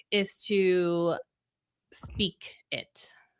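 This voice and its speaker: The tone is bright and sharp, with a Spanish accent. The recording is very clean and the background silent. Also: woman. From Venezuela, then Florida. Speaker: communication strategist and speaker. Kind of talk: podcast interview. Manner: conversational with many fillers.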